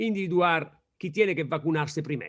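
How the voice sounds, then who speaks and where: A man with an Italian accent speaks at a high pitch. The recording is very clean, with a silent background. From Italy. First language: Italian (speaking Spanish). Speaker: law professor. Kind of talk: lecture. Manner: slow, searching for words.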